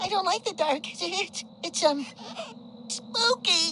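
In a put-on character voice, a woman shouts at an extremely high pitch, her tone bright and sharp, her intonation lively and her pace slow, with faint background noise.

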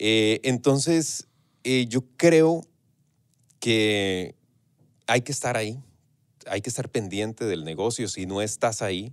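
Fairly low-pitched man with a Costa Rican accent, lively intonation, fairly slow pace. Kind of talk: casual interview chat. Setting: radio studio. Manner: relaxed, talkative, hesitant with fillers.

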